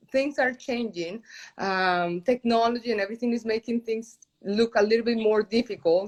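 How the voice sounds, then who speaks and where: A woman speaks in a Spanish accent with a fairly high pitch, ordinary pitch variation and a moderate pace. The sound is dry and close with no echo, over a quiet background. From Colombia. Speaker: journalist and entrepreneur. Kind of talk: interview. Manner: halting.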